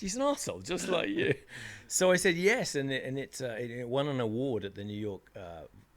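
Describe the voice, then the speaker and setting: A man with a British accent, fairly high-pitched, talking at a fairly quick pace, with very wide pitch swings and big swings in loudness. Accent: British, kept after years in America. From England, Reading. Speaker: DJ and actor. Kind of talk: interview. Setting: studio. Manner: casual, conversational.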